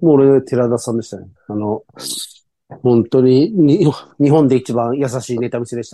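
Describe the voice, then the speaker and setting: Speaking at a fairly slow pace, the voice has a dark, mellow tone, ordinary pitch variation and big swings in loudness. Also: man, medium pitch for a man. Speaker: podcast co-host. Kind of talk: casual chat. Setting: video call.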